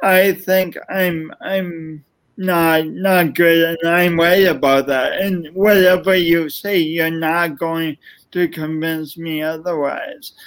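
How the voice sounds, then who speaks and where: A man's high voice stays flat and monotone. He speaks at a very slow pace. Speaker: motivational speaker and author. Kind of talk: casual interview. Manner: halting, repeats words.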